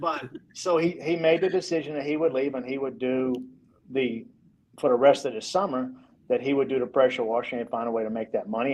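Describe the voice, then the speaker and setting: A man with an unremarkable speaking voice talks at a fairly quick pace, fairly high in pitch with ordinary pitch variation. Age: 50s. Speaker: real estate developer. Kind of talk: podcast interview.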